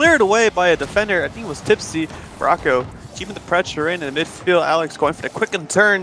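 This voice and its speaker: Talking very fast with ordinary pitch variation, a man is heard over noticeable background noise. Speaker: esports caster. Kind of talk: live commentary.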